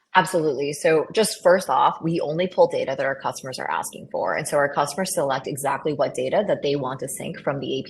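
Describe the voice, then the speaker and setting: A woman talking at a very fast pace with hardly any pauses, over noticeable background noise. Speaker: tech startup founder. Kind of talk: webinar panel discussion.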